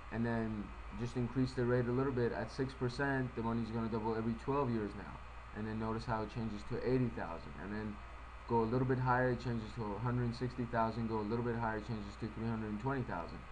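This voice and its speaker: A man at a very fast pace, with audible room echo. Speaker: financial presenter. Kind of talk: tutorial.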